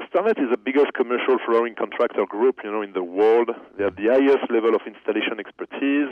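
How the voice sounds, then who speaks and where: Very fast in pace, a man speaks at medium pitch with ordinary pitch variation. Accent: French. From France. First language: French. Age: 30s. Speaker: company executive. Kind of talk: interview.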